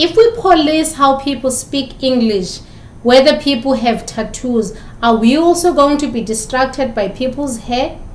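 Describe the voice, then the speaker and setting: A woman speaks at a fairly slow pace with a high pitch and ordinary pitch variation. Audible room echo surrounds her voice. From South Africa. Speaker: communication lecturer. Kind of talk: lecture. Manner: repeats words.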